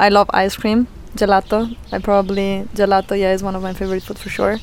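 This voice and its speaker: A woman speaks with an Italian accent. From Italy. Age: 30s. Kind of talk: casual interview. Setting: family lake house.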